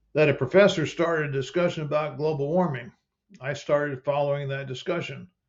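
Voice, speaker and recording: Pitched fairly high, a man speaks in a somewhat breathy voice. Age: 70s. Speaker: retired chemical engineer. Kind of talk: personal narration.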